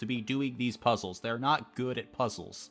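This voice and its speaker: A man talks at a medium pitch. Background music runs underneath. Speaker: game master YouTuber. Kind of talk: campaign recap monologue.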